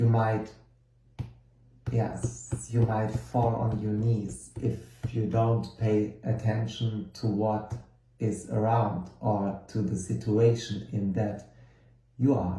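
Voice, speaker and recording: In a German accent, a man speaks very slowly with long, frequent pauses, a dark, mellow tone, somewhat breathy and monotone with flat intonation, amid audible room echo. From Germany. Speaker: tarot card reader and course teacher. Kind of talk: lecture. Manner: halting, with many fillers.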